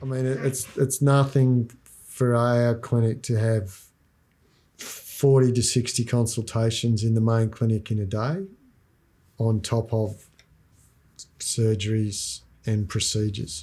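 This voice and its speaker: With an Australian accent, a somewhat breathy man with a dark, mellow tone and medium pitch speaks at a fairly slow pace with fairly even intonation and long, frequent pauses, on a very clean recording with a silent background. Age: 60s. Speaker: veterinarian. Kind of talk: documentary interview. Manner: casual, relaxed.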